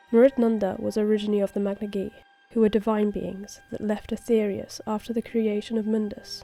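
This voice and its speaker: Over music in the background, a woman talks at a fairly quick pace in a medium pitch with monotone, flat intonation. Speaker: digital artist. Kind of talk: art timelapse narration with game lore.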